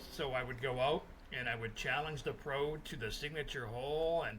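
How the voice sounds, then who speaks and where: With a Canadian accent, a man speaks at a moderate pace in a fairly high pitch with ordinary pitch variation, and the room echo is audible. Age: 60s. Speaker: sports journalist. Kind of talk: interview. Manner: casual, with frequent fillers.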